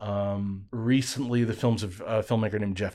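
On a very clean recording with a silent background, a man talks at a fairly slow pace with monotone, flat intonation. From Alabama, Birmingham. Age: young. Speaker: film festival programmer. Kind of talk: interview.

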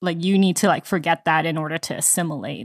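A woman has an ordinary speaking voice, fairly low in pitch with ordinary pitch variation. The recording is very clean with a silent background, and the sound is dry and close with no echo. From immigrated to US at age three. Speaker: podcast co-host. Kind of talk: casual book discussion.

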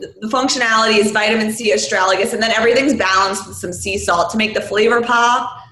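A woman with an American accent talks very fast with hardly any pauses, her fairly high pitch held to fairly even intonation while her loudness swings widely, over noticeable background noise and audible room echo. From New York City, Queens. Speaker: beverage company founder. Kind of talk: casual chat.

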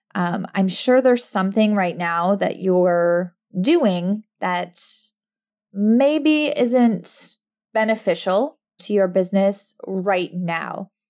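A woman speaks at a very slow pace. Her pitch is medium, with ordinary pitch variation. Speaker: podcast host and business coach for introverts. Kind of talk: casual solo monologue. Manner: frequent fillers and laughs; quiet.

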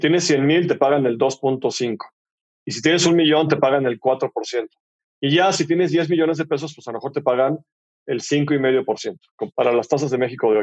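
Using ordinary pitch variation, a man with a fairly high pitch speaks at a moderate pace, leaving long, frequent pauses. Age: 50s. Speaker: entrepreneur, fintech CEO. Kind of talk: casual interview conversation. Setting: studio.

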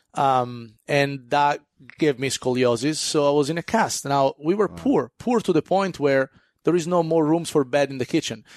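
In a quiet background, a man with an Italian accent talks at a moderate pace, his fairly high voice showing ordinary pitch variation and sounding dry and close with no echo. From Italy (Florence). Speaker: chef and restaurateur. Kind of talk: casual interview. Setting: studio. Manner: halting.

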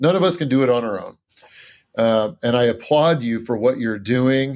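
On a very clean recording with a silent background, a man with a normal speaking voice talks at a moderate pace. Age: 50s. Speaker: dentist. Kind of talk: interview.

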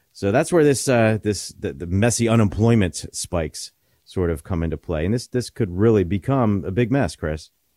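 A man with a fairly low pitch and a dark, mellow tone speaks at a moderate pace with lively intonation. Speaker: financial advisor radio host. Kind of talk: radio show talk about retirement planning. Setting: radio studio. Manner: conversational, hesitant with fillers.

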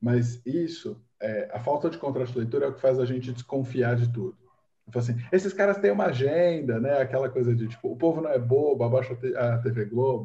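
A man's somewhat breathy, dark and mellow voice at medium pitch, fairly quick, with ordinary pitch variation. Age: 20s. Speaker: technology journalist. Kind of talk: casual chat.

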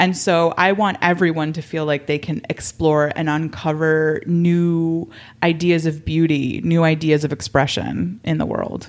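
A woman with an American accent, a very deep, low pitch, fairly even intonation, a fairly slow pace and hardly any pauses. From Miami, Florida. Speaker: podcast host. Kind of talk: casual interview conversation.

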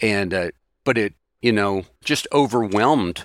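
In a dry, close recording with no echo, a man with an American accent has an unremarkable speaking voice, fairly low in pitch with ordinary variation. The recording is very clean, with a silent background. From Texas (Houston), earlier Maryland and Virginia. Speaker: accounting professor. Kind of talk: interview conversation.

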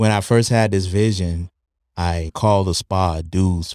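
A man's very deep, low, dark and mellow voice at a fairly slow pace, dry and close with no echo, in a very clean recording against a silent background. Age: 50s. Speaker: cryotherapy spa owner, veteran. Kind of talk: casual interview; business promo.

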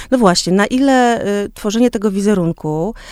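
Speaking at a fairly slow pace, a woman of medium pitch has an unremarkable speaking voice with ordinary pitch variation. The recording is very clean, with a silent background. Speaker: podcast host. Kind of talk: interview.

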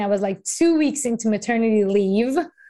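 A woman's dark, mellow, fairly high-pitched voice with a Persian accent, on a very clean recording with a silent background. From Iran. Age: 30s. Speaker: investing educator and author. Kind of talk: podcast interview.

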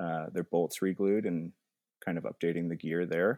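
Very deep and low, a man's dark, mellow voice holds a monotone, flat intonation at a moderate pace, in a dry, close sound with no echo on a very clean recording with a silent background. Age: 30s. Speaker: nursing student and climber. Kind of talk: interview about an accident.

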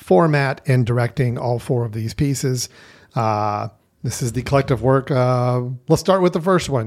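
Using lively intonation at a fairly slow pace, a man with an unremarkable speaking voice speaks at a medium pitch. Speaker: film podcast host. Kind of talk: casual chat.

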